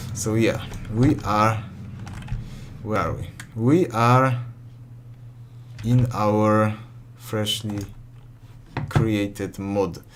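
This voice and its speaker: A man speaks at a very slow pace with long, frequent pauses, his fairly low pitch carrying fairly even intonation over noticeable background noise and audible room echo. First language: not English. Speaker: modding tutorial youtuber. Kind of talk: tutorial. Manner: halting, many self-corrections.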